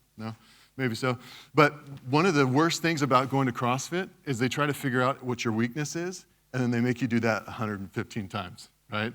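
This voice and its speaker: Against a very clean, silent background, a man with an American accent talks at a fairly quick pace, medium in pitch with ordinary pitch variation. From West Texas, US. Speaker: cybersecurity speaker. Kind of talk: conference talk. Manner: casual, conversational.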